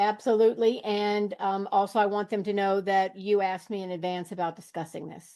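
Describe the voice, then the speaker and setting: A woman with an American accent speaks at a medium pitch with a dark, mellow tone. Her intonation is monotone and flat, with hardly any pauses. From US South, rural Virginia. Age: 60s. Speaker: grieving widow sharing spiritual story. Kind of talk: podcast interview. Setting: video call.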